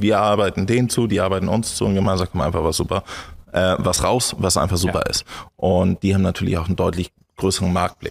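A man talks very fast with a very deep, low pitch. His intonation stays fairly even against a quiet background. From northern Germany, Schleswig-Holstein. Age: 20s. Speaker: entrepreneur; podcast guest. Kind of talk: interview. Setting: on his farm. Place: studio. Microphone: studio mic.

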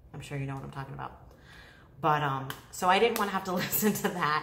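A woman speaks very fast with a very deep, low pitch. Audible room echo and light background noise are present. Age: 30s. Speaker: beauty YouTuber. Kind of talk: casual vlog talk to camera. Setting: home living room, talking to camera. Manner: chatty, rambling with fillers. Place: home room. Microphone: phone near.

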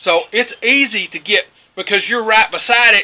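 Lively in intonation, a man talks at a moderate pace in a high pitch. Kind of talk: casual vlog chat. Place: farm machine.

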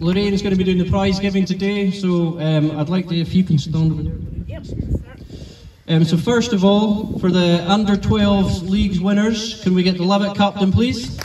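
Noticeable background noise sits under a man's high-pitched voice and fairly even intonation. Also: moderate pace. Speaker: tournament organiser and announcer. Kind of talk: event announcement and closing speech. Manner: relaxed, informal, hesitant with fillers.

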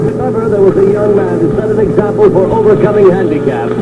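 A man talks over loud background noise. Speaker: radio disc jockey. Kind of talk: radio show host narration. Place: studio. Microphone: old recording.

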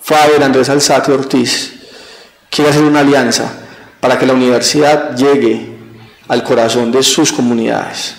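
In a room with audible echo, a man speaks at a moderate pace in a flat monotone, his loudness very even and his pauses long and frequent. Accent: Colombian Paisa. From Colombia, eastern Antioquia. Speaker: university rector; interview guest. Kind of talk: TV interview. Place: studio. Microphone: handheld.

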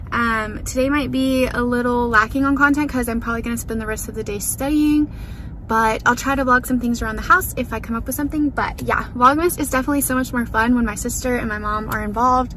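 Talking fast with fairly even intonation, a woman with a fairly high pitch is heard amid audible room echo and clear background noise.

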